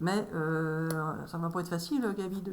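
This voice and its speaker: Fairly even intonation, with audible room echo. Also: woman. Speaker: medium doing tarot card readings. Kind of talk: solo tarot reading video. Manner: halting, repeats words.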